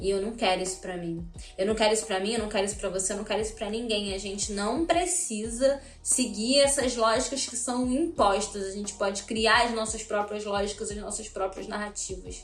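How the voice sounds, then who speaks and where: In a room with audible echo and noticeable background noise, a woman speaks fairly quickly at a fairly high pitch with ordinary pitch variation. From Rio de Janeiro, Brazil (Realengo, west zone). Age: 20s. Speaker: cultural producer and activist. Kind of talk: personal testimony. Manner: casual, conversational.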